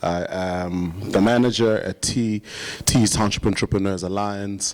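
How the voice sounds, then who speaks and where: Fairly slow, fairly even speech from a man with a fairly low pitch, over noticeable background noise. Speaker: nonprofit manager. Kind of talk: panel introduction. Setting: conference panel with audience.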